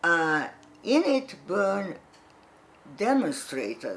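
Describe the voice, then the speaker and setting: Very wide pitch swings at a very slow pace, with noticeable background noise and audible room echo. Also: woman. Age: 80s+. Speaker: psychotherapist. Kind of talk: lecture.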